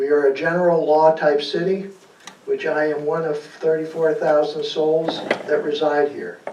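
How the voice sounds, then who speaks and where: A man's fairly high voice in a flat monotone at a moderate pace, with audible room echo and noticeable background noise. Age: 80s+. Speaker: resident giving public comment. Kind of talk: public comment, reading a statement. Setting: city council meeting. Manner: halting, many fillers.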